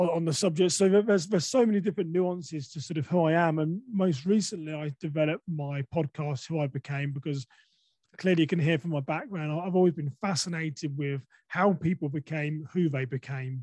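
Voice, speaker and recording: With an English accent, a man speaks at a fairly quick pace in a fairly high pitch, his tone dark and mellow, his pitch varying in an ordinary way, the sound dry and close with no echo. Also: quiet background. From England. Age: 40s. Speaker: podcaster and safety speaker. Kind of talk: interview conversation. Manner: hesitant, many fillers.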